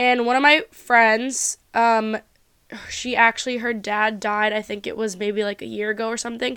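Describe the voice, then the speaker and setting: Bright, sharp and animated, a woman speaks at a moderate pace with a fairly high pitch. The recording is very clean, with a silent background. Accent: American. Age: 20s. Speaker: podcast host. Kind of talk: casual chat.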